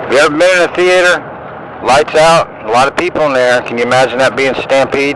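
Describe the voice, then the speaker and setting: A man talks at a very fast pace with a fairly high pitch and ordinary pitch variation. Noticeable background noise runs behind him. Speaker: conspiracy-minded religious vlogger. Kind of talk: monologue video commentary. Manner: hesitant fillers.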